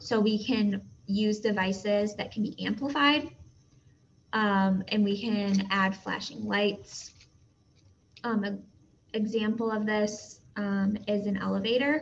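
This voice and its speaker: Somewhat breathy, a woman speaks at a very slow pace with fairly even intonation and long, frequent pauses. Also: medium pitch for a woman. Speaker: teacher. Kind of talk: lecture. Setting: recorded video lesson.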